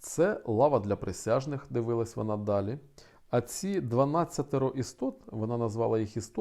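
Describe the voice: The clip is plain reading aloud, its pitch varying in an ordinary way.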